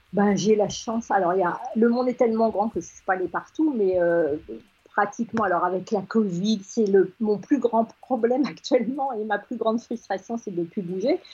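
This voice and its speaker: A woman's somewhat breathy voice moves at a moderate pace with ordinary pitch variation. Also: fairly high pitch for a woman. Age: 60s. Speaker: agency founder. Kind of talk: radio interview.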